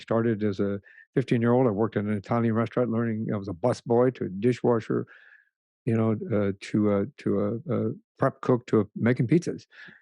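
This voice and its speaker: A man with an American accent at a medium pitch, fairly even intonation and a very fast pace, in a dry, close sound with no echo and a quiet background. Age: 60s. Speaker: retired police sergeant. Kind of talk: interview testimony. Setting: podcast interview. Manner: halting, many fillers and restarts.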